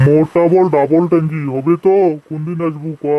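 Putting on a cartoonish character voice, a man speaks at a fairly high pitch and moderate pace with monotone, flat intonation. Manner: blunt.

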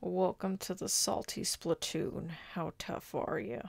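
A man's gruff, put-on character voice, fairly high in pitch, at a fairly slow pace. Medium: audio drama.

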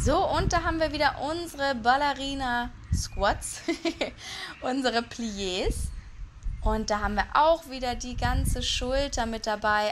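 A woman speaks in a high pitch with lively intonation at a fairly slow pace. Long, frequent pauses break her speech over noticeable background noise. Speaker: fitness instructor. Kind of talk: workout instruction. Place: garden.

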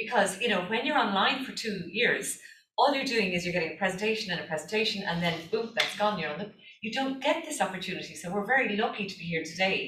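With an Irish accent, a woman speaks at a very fast pace and a medium pitch with lively intonation over noticeable background noise. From Ireland. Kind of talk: conference presentation. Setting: stage with audience.

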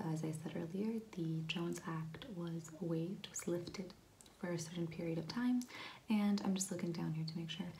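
A soft-spoken woman with a gentle tone, a fairly low pitch and fairly even intonation, over light background noise. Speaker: explainer vlogger. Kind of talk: explainer talk to camera on policy. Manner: soft-spoken, gentle ASMR voice. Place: home room. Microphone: phone near.

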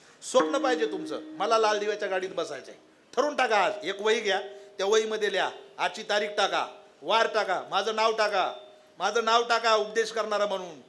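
In a room with audible echo, a man's high-pitched voice has a bright, sharp tone and ordinary pitch variation. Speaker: kirtan preacher. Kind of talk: sermon. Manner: animated.

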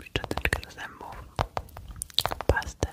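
A woman whispering at a very slow pace. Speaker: ASMR content creator. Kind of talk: ASMR trigger video, soft talk to camera. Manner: soft-spoken, whispered. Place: home room. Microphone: studio mic.

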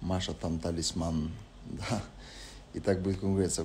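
There is light background noise as a man speaks in a relaxed tone, somewhat breathy and very deep and low in pitch. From Spain. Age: 20s. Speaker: reality show participant. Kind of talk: live stream chat answering viewer questions. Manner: casual, relaxed. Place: home room. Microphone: lapel.

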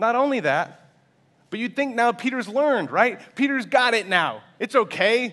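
A man speaks in a raised, projected voice at an extremely high pitch, with a bright, sharp tone. His pace is moderate against a quiet background. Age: 20s. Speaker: pastor. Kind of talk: sermon. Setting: church. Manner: animated. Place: church.

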